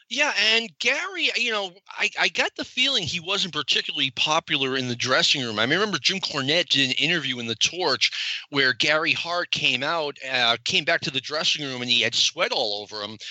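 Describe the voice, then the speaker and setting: A man with a fairly high pitch swings very widely up and down while noticeable background noise runs underneath. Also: fairly quick pace. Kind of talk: casual chat.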